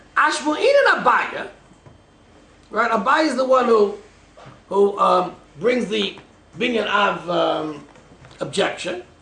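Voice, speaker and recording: Over noticeable background noise, a man with a high pitch talks in a raised, projected voice with lively intonation. His pace is very slow, broken by long, frequent pauses. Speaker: rabbi teaching a Talmud class. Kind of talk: lecture.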